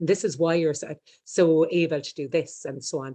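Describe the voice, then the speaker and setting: A woman's very deep, low voice with an Irish accent, dark and mellow in tone, with fairly even intonation. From Ireland. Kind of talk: interview, personal story. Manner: very fast; stumbles over words.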